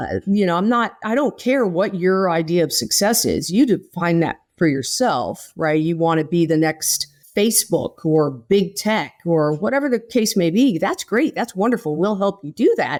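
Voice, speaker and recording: Hardly pausing, a woman speaks at a moderate pace and medium pitch with lively intonation. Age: 60s. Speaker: nonprofit founder, military spouse entrepreneur. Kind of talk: podcast interview. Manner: conversational, animated.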